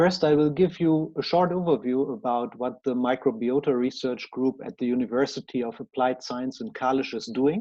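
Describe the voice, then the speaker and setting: The speaker has a German accent and keeps a moderate pace with hardly any pauses. Pitch variation is ordinary. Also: man, medium pitch for a man. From Germany. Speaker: researcher. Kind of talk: conference presentation. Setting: conference talk. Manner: formal.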